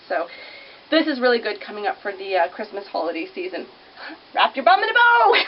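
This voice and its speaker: A woman mumbles at a fairly quick pace and a fairly high pitch, her voice swinging very widely in pitch. Long, frequent pauses interrupt her, and background noise is noticeable. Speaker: vintage clothing shop owner. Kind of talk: casual product showcase to camera. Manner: fast, chatty; mumbling.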